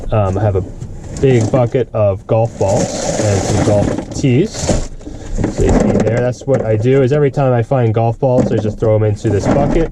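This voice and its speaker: Quiet speech from a man at medium pitch with ordinary pitch variation, plus noticeable background noise. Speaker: scrap and resale vlogger. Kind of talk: casual vlog. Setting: flea market booth. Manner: quiet, subdued; hesitant, with fillers.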